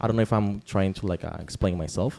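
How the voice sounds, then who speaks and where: Fairly low-pitched man with a Spanish accent, dry, close sound with no echo, music in the background. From Nicaragua. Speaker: podcast guest. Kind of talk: casual conversation. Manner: halting, many fillers.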